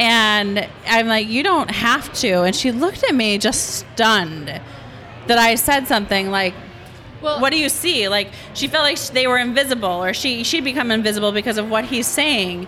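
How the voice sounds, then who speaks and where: Noticeable background noise sits under a woman with a fairly high pitch and lively intonation. Her loudness stays very even at a moderate pace. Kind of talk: casual chat among friends.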